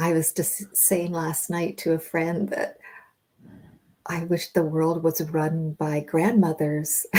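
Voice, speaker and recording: The voice has a dark, mellow tone and a monotone, flat intonation, delivered at a very slow pace. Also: woman, fairly low pitch for a woman. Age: 60s. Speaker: dance facilitator. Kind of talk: interview conversation.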